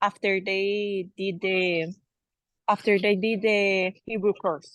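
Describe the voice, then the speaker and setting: A woman speaks with a Spanish accent and fairly even intonation. The sound is dry and close with no echo, over a quiet background. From Colombia. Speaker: soldier. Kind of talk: personal testimony.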